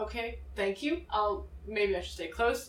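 A woman speaks at a medium pitch with ordinary pitch variation. Hers is an unremarkable speaking voice. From Massachusetts. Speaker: student pilot. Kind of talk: interview. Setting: outdoors at an air show venue.

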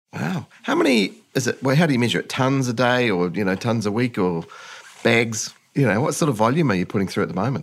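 A man with a New Zealand accent, talking at a very fast pace with lively intonation. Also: medium pitch for a man. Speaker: podcast host. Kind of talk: interview. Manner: animated.

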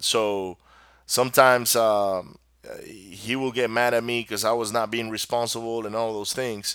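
In a Venezuelan accent, a man speaks fairly slowly at a medium pitch with monotone, flat intonation. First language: Spanish. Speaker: podcast host. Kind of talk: solo podcast monologue. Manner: casual, rambling, motivational.

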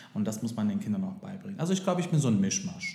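Against audible room echo, a man speaks in a dark, mellow, somewhat breathy tone with very wide pitch swings. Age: 30s. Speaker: daycare center director and singer. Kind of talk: interview.

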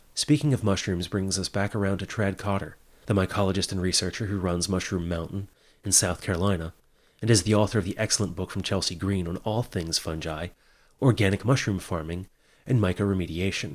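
A man's very deep, low voice at a fairly quick pace on a very clean recording with a silent background. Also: ordinary pitch variation. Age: 30s. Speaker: podcast host. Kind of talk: scripted narration.

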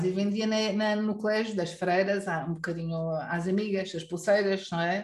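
With a Lisbon accent, a woman speaks at medium pitch with fairly even intonation. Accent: European Portuguese, Lisbon. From Lisbon, Portugal. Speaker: Mandarin teacher and online course creator. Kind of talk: interview.

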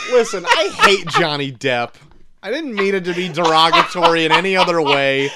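A man speaks with a high pitch and ordinary pitch variation at a moderate pace. Noticeable background noise runs under his voice. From small-town America. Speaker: movie review podcast co-host. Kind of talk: casual chat. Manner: laughs often.

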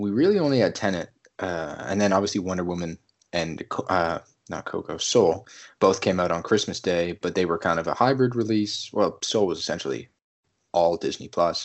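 A man with an unremarkable speaking voice talks at a moderate pace and fairly low pitch with lively intonation. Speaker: podcast host. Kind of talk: casual chat about upcoming films.

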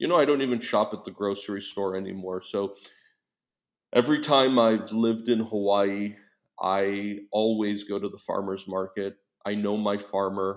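A man speaks in a plain, everyday voice, pitched fairly low. His pace is moderate and his intonation fairly even. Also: quiet background. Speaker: entrepreneur. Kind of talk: interview. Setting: remote call.

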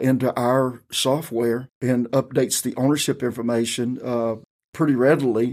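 Speaking in a North Carolina accent, a man keeps a monotone, flat intonation at medium pitch and a moderate pace, in a very clean recording with a silent background. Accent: southern US (North Carolina). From US South, rural Robeson County, North Carolina. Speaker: county tax director and pastor. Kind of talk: interview.

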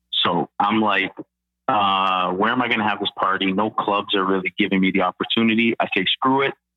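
Speaking at a fairly quick pace, a man with a normal speaking voice keeps his fairly low pitch in fairly even intonation. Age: 30s. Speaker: real estate agent, former musician. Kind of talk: casual interview.

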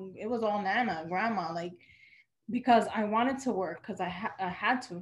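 A somewhat breathy woman in a New York accent, fairly quick, with ordinary pitch variation. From New York, Dominican family. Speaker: event planner and business owner. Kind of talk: casual interview.

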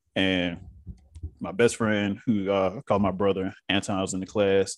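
A man speaks with a Southern US accent at a fairly low pitch. His intonation is monotone and flat, at a moderate pace. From US South. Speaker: actor. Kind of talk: casual chat.

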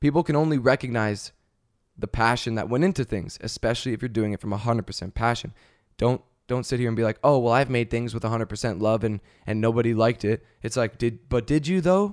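A man talks at a very fast pace and medium pitch, with an animated tone and ordinary pitch variation. The recording is very clean, with a silent background. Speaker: podcaster, content creator. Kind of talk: casual solo podcast monologue. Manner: animated, casual, chatty, profane.

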